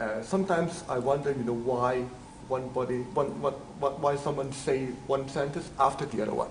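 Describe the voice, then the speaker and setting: With noticeable background noise and audible room echo, a man with a non-native accent speaks at a medium pitch and moderate pace, using ordinary pitch variation. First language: not English. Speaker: teaching assistant. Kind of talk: lecture. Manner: halting.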